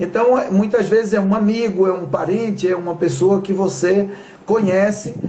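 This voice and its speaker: With a Bahian accent, a high-pitched man talks at a moderate pace and a fairly even intonation, with audible room echo and noticeable background noise. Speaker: talk show host. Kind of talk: live stream talk.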